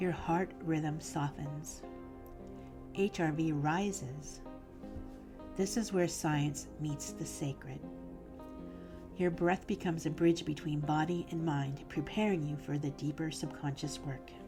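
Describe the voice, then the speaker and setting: A woman's very deep, low voice at a fairly slow pace, with ordinary pitch variation, long, frequent pauses, and music in the background. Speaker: hypnotist. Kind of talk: guided hypnosis promotional talk.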